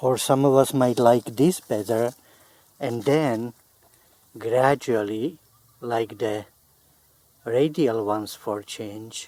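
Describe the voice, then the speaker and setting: Very slow, with long, frequent pauses, a man speaks at a medium pitch in a dark, mellow tone with ordinary pitch variation. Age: 70s. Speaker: gardening hobbyist. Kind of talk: tutorial.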